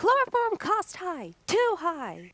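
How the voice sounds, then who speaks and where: Squeaky and extremely high in pitch, the voice is a put-on character voice. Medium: audio drama. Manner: halting, ungrammatical.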